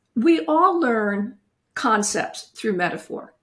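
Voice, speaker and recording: Very slow speech with lively intonation and vocal fry. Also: woman. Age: 70s. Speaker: retired family lawyer and author. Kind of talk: interview.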